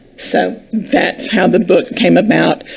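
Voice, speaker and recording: Against noticeable background noise, a woman with a medium pitch talks, her pitch varying in an ordinary way. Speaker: children's book author. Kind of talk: interview.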